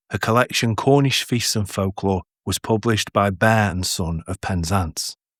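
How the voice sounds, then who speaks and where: Recorded very cleanly against a silent background, a man with a northern English accent speaks at a moderate pace with ordinary pitch variation in a dry, close sound with no echo. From northern England. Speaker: podcast host and narrator. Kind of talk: podcast introduction.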